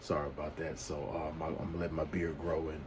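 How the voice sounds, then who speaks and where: A man with a Louisiana accent and a very deep, low pitch, over noticeable background noise. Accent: Louisiana Southern US. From US South, Louisiana. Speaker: men's life coach YouTuber. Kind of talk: casual advice monologue. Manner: halting, many fillers and restarts.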